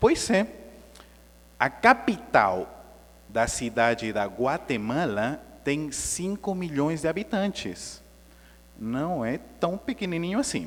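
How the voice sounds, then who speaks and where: Pausing long and often, a man with a non-native accent and a fairly high pitch talks at a very slow pace with very wide pitch swings. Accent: foreign accent in Portuguese. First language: Spanish (speaking Portuguese). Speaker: spiritist lecturer. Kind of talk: lecture. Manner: conversational, engaging audience.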